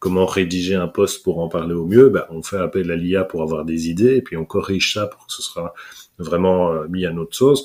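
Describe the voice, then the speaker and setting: A man with a Belgian accent and a very deep, low pitch speaks at a fairly quick pace with ordinary pitch variation. His loudness swings widely in a very clean recording with a silent background. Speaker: corporate trainer, speaker and hypnotherapist. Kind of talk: interview answer. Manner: upbeat, fun.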